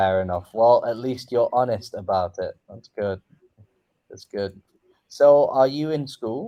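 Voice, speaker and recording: The man's tone is dark and mellow, in an English accent. His loudness swings a lot. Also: medium pitch for a man, ordinary pitch variation, fairly slow pace. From England. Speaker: online English tutor. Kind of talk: casual chat.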